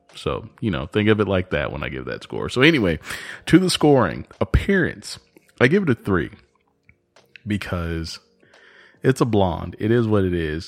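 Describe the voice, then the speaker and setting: Marked by vocal fry and very wide pitch swings, a man speaks with long, frequent pauses. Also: fairly low pitch for a man, moderate pace. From Texas. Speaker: podcast host. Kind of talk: casual solo podcast monologue.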